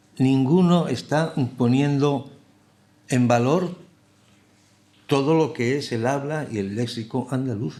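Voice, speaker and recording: Audible room echo around a fairly high male voice, fairly slow in pace and ordinary in pitch variation. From Basque Country, San Sebastián. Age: middle-aged. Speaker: TV scriptwriter and lecturer. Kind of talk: lecture. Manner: halting, many repetitions and fillers.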